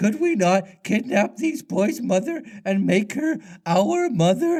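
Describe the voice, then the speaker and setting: A man puts on a character voice pitched high. He speaks at a fairly slow pace. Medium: read story.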